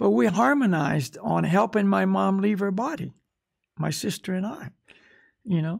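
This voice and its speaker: A man with an American accent talks at a moderate pace, his pitch high and his intonation lively. The background is quiet. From US. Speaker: spiritual teacher. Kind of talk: casual chat. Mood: calm, reflective. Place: home room. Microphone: studio mic.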